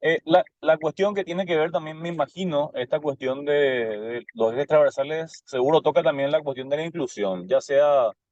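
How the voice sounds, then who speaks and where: A man speaks at a moderate pace in a fairly high pitch with ordinary pitch variation. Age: 30s. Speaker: student teacher in an online class. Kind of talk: class discussion question. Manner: halting, many fillers and repetitions.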